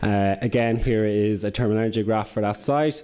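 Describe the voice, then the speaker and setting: Fairly low in pitch, a man talks with an Irish accent and fairly even intonation. Noticeable background noise sits behind him. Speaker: corporate sustainability manager. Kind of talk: conference presentation. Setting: conference with audience. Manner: fast.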